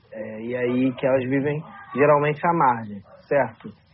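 A man speaks at a fairly slow pace. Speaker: podcast co-host. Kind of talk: podcast conversation. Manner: animated.

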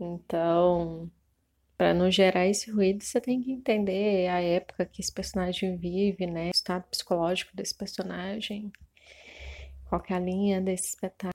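A normal speaking voice talks at a moderate pace with fairly even intonation. The recording is very clean with a silent background and has a dry, close sound with no echo. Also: woman, medium pitch for a woman. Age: 30s. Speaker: costume and set designer. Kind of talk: interview, casual chat.

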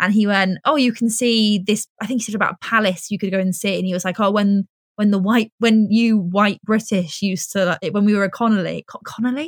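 A woman's medium-pitched, somewhat breathy voice at a fairly quick pace, with hardly any pauses, fairly even intonation, and a dry, close sound with no echo. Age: 20s. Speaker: presenter. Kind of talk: casual chat.

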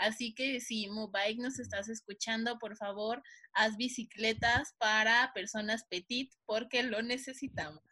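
In a Mexican accent, a woman with a fairly high pitch and a bright, sharp tone speaks at a fairly slow pace with hardly any pauses and fairly even intonation, the sound dry and close with no echo over a quiet background. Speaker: podcast co-host. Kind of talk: casual chat.

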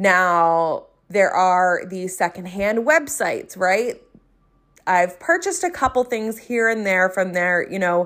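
With a South Jersey accent, a woman speaks at a medium pitch and a very slow pace. Her intonation is lively. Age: 30s. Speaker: podcast host, entrepreneur and coach. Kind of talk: solo podcast monologue, casual and conversational.

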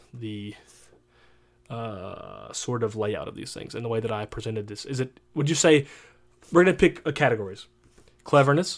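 A man at medium pitch with lively intonation, on a very clean recording against a silent background. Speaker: podcast host. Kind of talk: casual chat. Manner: loud; fast.

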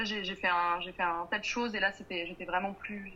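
Fairly even intonation from a woman, at a medium tempo. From Paris suburbs, France. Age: 20s. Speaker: entrepreneur. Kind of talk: interview. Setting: video call. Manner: hesitant.

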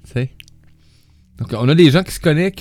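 A man with a Quebec accent, lively intonation and a moderate pace. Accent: Québécois French. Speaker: radio host. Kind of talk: casual chat.

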